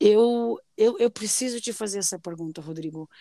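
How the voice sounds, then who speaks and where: At a fairly slow pace, a woman speaks at a medium pitch with ordinary pitch variation. The recording is very clean and dry, close with no echo and a silent background. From southern Brazil (Londrina, Paraná; early years São Paulo). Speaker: podcast host. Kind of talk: casual interview chat. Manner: animated.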